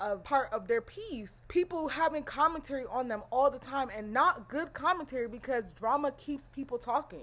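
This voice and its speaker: A high-pitched woman's voice with lively intonation at a moderate pace. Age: 20s. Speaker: content creator. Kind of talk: casual talk to camera.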